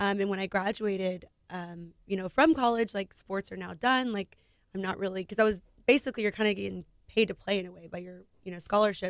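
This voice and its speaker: In an American accent, a woman with an unremarkable speaking voice talks fairly quickly at a medium pitch, with ordinary pitch variation and big swings in loudness. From Houston, Texas. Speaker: business owner and foundation founder. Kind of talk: radio interview. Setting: radio studio.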